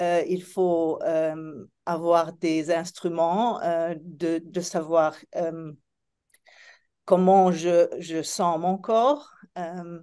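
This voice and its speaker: A woman with a non-native accent speaks at a very slow pace, with long, frequent pauses and fairly even intonation. Her fairly low voice has a dark, mellow tone over a quiet background. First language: not French (speaking French). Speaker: therapist. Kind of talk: panel discussion. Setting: live event with audience. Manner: halting, searching for words.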